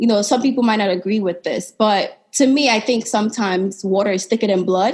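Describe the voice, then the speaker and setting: A woman talks at a fairly quick pace with hardly any pauses. Her fairly high voice is somewhat breathy, with ordinary pitch variation. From Sierra Leone. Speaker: podcast host, vlogger, entrepreneur. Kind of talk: interview answer. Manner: casual.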